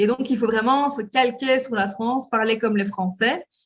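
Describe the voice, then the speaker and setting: Somewhat breathy, a woman with a fairly high pitch talks at a fairly slow pace with ordinary pitch variation. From Belgium, Liège. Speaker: French teacher and cultural liaison officer. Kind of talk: interview. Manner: hesitant, many fillers.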